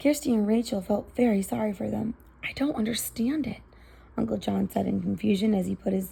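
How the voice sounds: The clip features a natural reading voice.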